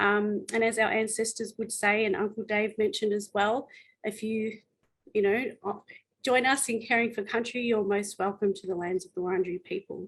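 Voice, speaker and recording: A somewhat breathy woman with a fairly high pitch at a moderate pace. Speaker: exhibition curator and forum moderator. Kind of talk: panel introduction. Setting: webinar.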